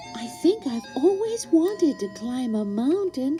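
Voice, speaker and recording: A female-sounding, put-on character voice speaks at a fairly slow pace. Clear music plays in the background. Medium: read story. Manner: wondering, innocent.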